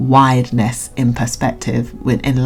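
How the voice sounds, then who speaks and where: Over noticeable background noise, a woman with a British accent speaks fairly slowly in a flat monotone, her pitch very deep and low. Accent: British, drops T's. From Britain. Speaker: YouTube reaction vlogger. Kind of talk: casual commentary vlog. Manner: halting, many fillers and restarts.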